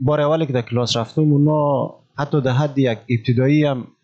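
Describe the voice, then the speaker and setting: Against a quiet background, a man talks. His pace is fairly quick. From Afghanistan, Ghazni province (Malistan). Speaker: refugee and volunteer teacher. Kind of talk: casual interview.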